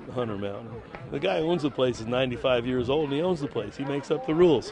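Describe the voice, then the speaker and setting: Against noticeable background noise, a man at medium pitch talks at a very fast pace with ordinary pitch variation. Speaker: snowboard instructor and comic poet. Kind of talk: casual interview answer at a party.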